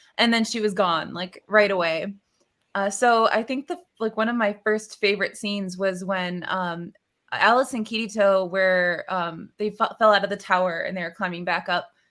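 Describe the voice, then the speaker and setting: A woman talks at a medium pitch, with fairly even intonation. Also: moderate pace. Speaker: voice actor. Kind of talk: casual chat.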